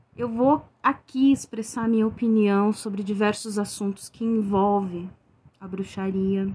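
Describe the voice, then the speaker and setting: A woman speaks at a fairly slow pace in a medium-pitched, somewhat breathy voice with a dark, mellow tone. Her intonation stays fairly even while her loudness swings a lot. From Rio Grande do Sul, southern Brazil. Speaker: tarot reader and witch. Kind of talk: solo podcast monologue.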